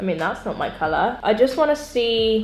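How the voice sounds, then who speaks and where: Over music in the background, a woman speaks at a moderate pace with lively intonation and an upbeat tone. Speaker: beauty YouTuber. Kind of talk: casual makeup tutorial talk to camera. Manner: chatty, upbeat.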